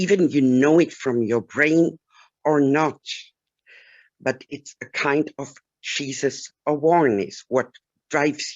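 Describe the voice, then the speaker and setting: Someone with a German accent speaks at a very slow pace, leaving long, frequent pauses. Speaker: webinar participant. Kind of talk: testimony. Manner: halting.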